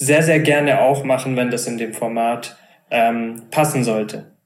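Male voice at medium pitch, moderate pace and fairly even intonation, with audible room echo. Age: 20s. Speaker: startup co-founder. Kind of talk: interview conversation.

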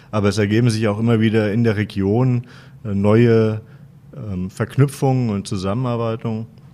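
At a medium pitch, a man speaks in a dark, mellow tone with monotone, flat intonation and long, frequent pauses. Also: moderate pace. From Wetzlar, central Hesse, Germany. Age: 40s. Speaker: professor, university vice president. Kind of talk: interview. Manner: hesitant, many filler sounds.

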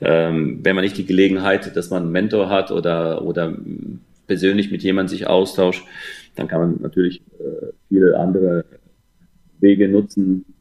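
Monotone, flat intonation at a moderate pace, with long, frequent pauses. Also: man, very deep, low pitch for a man. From Germany, Rhine-Main area. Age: 50s. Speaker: football coach. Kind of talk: interview. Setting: remote call.

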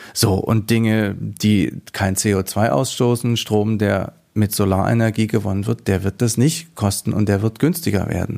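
Speaking at a fairly slow pace, a man with a fairly low pitch and a dark, mellow tone uses ordinary pitch variation, recorded very cleanly over a silent background. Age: 40s. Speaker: small party politician, teacher. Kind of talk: political interview.

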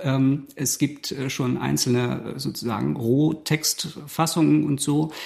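Speaking very slowly, a man with a dark, mellow tone and a fairly high pitch uses ordinary pitch variation. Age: 40s. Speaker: theatre musician and cabaret artist. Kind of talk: casual chat.

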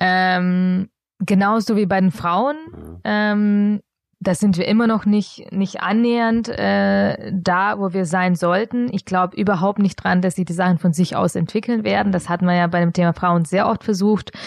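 Against a quiet background, a woman talks at a fairly slow pace in a medium pitch, with ordinary pitch variation and very even loudness. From Bavaria, Augsburg. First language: not German (speaking German). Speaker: founder of a social enterprise. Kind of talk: interview. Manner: hesitant with many fillers.

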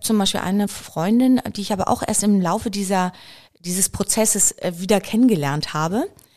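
The speaker has a plain, everyday voice. The delivery is fairly quick, with ordinary pitch variation. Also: woman, medium pitch for a woman. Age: 50s. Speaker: biochemist and company founder. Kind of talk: casual interview.

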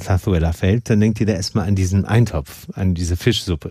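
In a fairly low voice, a man speaks at a moderate pace with ordinary pitch variation. His tone is dark, mellow and somewhat breathy. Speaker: podcast host. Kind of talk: casual interview. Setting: studio.

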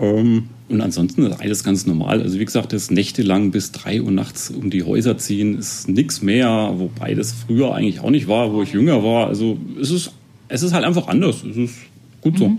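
A man speaks at a moderate pace in a fairly low pitch with lively intonation. It is a plain, everyday voice. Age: 30s. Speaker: amateur marathon runner. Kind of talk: interview.

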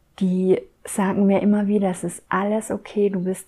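A woman at a medium pitch, dark and mellow in tone, at a fairly slow pace. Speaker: spiritual podcast host. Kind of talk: casual monologue. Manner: improvised, flowing.

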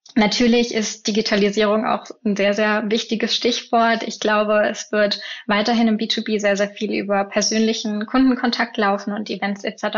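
A woman's fairly high voice, flat and monotone, at a moderate pace with hardly any pauses. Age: 20s. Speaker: field marketer. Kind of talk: interview.

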